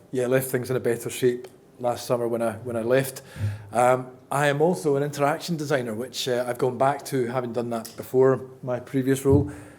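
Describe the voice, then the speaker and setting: A man of medium pitch talks at a moderate pace with fairly even intonation, with audible room echo and noticeable background noise. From Scotland. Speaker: accessibility consultant and conference speaker. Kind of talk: conference talk. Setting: stage with audience. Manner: casual, hesitant with many fillers.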